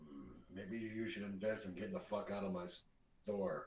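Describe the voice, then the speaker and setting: A man's put-on character voice, fairly low in pitch, at a moderate pace with audible echo. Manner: hostile, curt, cursing.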